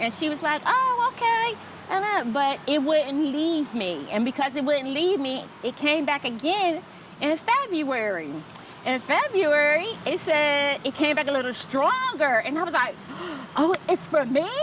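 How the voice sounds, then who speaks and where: Speaking at a fairly slow pace with an American accent, a woman uses a high pitch and very wide pitch swings against noticeable background noise. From New Jersey, US (Trenton). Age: 50s. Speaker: expat interviewee. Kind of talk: casual interview.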